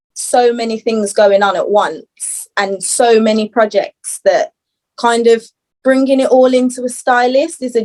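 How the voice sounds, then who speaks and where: In a Birmingham accent, a woman speaks at a high pitch and a moderate pace. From Birmingham, England. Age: 20s. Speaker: fashion stylist and upcycling brand owner. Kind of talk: podcast interview. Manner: hesitant, many fillers.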